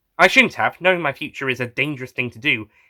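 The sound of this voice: A man talks at a fast pace with lively intonation. His tone is bright and sharp.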